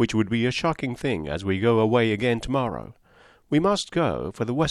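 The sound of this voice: The reading voice is unforced. Lively intonation runs through it.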